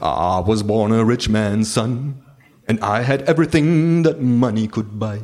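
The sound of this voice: An unforced reading voice carries the clip.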